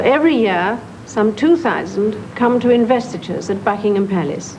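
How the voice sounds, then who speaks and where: A woman with a British accent speaks at a fairly high pitch with lively intonation. Noticeable background noise is present. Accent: British received pronunciation. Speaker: monarch. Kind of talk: formal royal speech.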